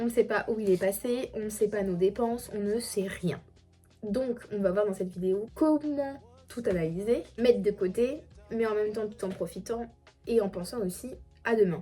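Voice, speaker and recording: A woman at a fairly slow pace with ordinary pitch variation, music in the background. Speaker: family vlogger. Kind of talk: casual tutorial. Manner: hesitant, many fillers.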